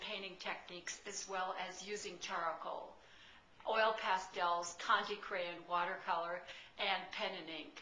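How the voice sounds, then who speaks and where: A woman speaks at a medium pitch. Audible room echo and noticeable background noise fill the recording. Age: 60s. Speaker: artist and art teacher. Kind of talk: video testimonial.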